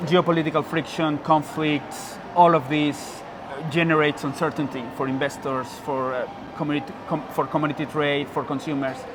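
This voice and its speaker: Noticeable background noise sits behind a man's voice. He speaks at a fairly high pitch and a moderate pace with fairly even intonation. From Mexico. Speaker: university lecturer, researcher. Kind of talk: interview answer.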